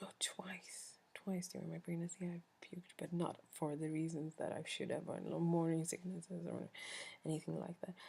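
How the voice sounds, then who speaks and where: A woman with a Swedish accent speaks at a moderate pace. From Sweden. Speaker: vlogger. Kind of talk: casual chat.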